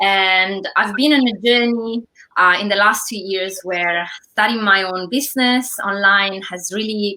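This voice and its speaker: In an Italian accent, a woman speaks at medium pitch. Her pace is moderate, with ordinary pitch variation. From Italy. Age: 30s. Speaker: online entrepreneur. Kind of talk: interview.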